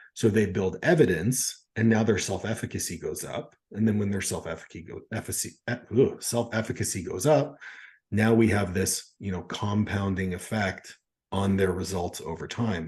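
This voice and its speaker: Somewhat breathy, a man talks at a moderate pace with a fairly low pitch and ordinary pitch variation. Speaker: podcast host, coach. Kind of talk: podcast interview questions.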